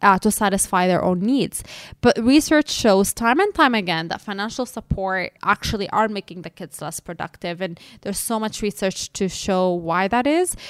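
On a very clean, dry, close recording with a silent background and no echo, a woman with a plain, everyday voice of medium pitch talks at a moderate pace, her loudness swinging widely while her pitch varies in an ordinary way. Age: 30s. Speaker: podcast co-host and financial therapist. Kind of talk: casual educational chat.

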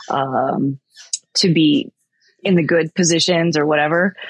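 A woman with a very deep, low pitch speaks at a fairly slow pace in an American accent. The sound is dry and close with no echo. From California, US. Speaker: executive protection agent and firearms instructor. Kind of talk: casual interview.

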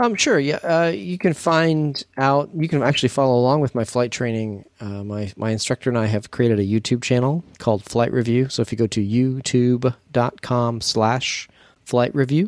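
Using a normal speaking voice, a man of medium pitch talks at a moderate pace with hardly any pauses and ordinary pitch variation. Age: 40s. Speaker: podcast co-host, student pilot. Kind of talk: casual chat.

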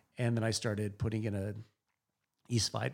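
A man speaks at a fairly low pitch with vocal fry. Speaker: winemaker. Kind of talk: interview conversation.

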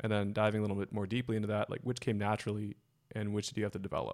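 On a very clean recording with a silent background, a man with a Californian accent speaks very fast in a fairly low pitch and a monotone, flat intonation. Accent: Californian American. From Silicon Valley, California. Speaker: podcast host. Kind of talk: casual interview.

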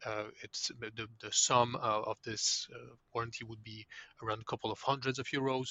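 A man speaks at medium pitch with a French accent. His intonation is monotone and flat, at a moderate pace. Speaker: legal tech executive. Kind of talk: interview. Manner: halting, with frequent repetitions.

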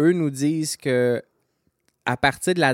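A man speaks at a fairly slow pace with ordinary pitch variation, in an ordinary speaking voice. The sound is dry and close with no echo, on a very clean recording with a silent background. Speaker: homebrewing podcast co-host. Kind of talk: casual chat.

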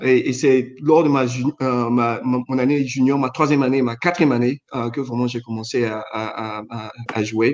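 A man with a plain, everyday voice speaks at a fairly slow pace with fairly even intonation. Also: medium pitch for a man. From Chad. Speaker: former basketball player, finance professional. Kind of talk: casual chat.

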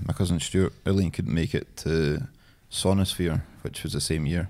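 A man speaks with a Scottish accent in a dark, mellow tone. His moderate pace and ordinary pitch variation come through on a very clean recording with a silent background. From Scotland, East Lothian. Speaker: beard oil business founder. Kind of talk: casual chat.

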